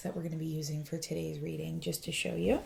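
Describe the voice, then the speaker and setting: Soft-spoken and somewhat breathy, a woman talks with a dark, mellow tone. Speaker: tarot reader. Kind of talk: tarot reading to camera.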